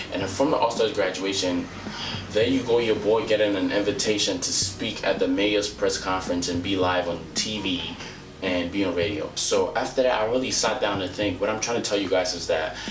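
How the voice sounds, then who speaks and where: A man at a fairly quick pace, with music in the background and audible room echo. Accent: African. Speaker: motivational vlogger. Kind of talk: motivational talk to camera. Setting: outdoors.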